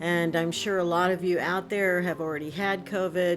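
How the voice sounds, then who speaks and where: A woman talks at a moderate pace with fairly even intonation. Music plays in the background. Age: 60s. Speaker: retired college instructor and counselor. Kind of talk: casual talk to camera.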